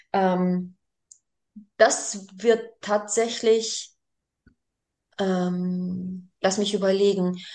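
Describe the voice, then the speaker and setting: Very slowly, a woman speaks at a medium pitch with long, frequent pauses. Her intonation is monotone and flat. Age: 40s. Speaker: daycare group leader. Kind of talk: interview. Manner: halting, many fillers.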